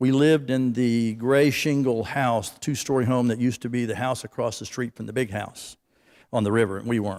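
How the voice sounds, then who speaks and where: In a plain, everyday voice, a man with an American accent talks at a fairly quick pace with fairly even intonation, on a very clean recording with a silent background. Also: medium pitch for a man. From Florida. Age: 60s. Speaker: award recipient. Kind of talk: acceptance speech. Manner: conversational.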